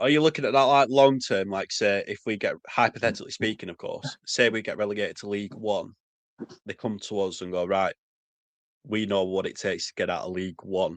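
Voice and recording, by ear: Speaking at a fairly quick pace, a man with fairly low pitch keeps his intonation fairly even.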